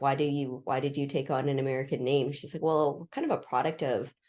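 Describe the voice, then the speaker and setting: A woman's very deep, low, dark, mellow voice in a West Coast accent, at a moderate pace with ordinary pitch variation and a quiet background. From Pacific Northwest US, Seattle area. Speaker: historian. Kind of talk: interview conversation. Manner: halting, with repetitions.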